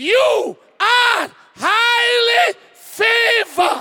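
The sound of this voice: Someone shouts in a put-on character voice at an extremely high pitch.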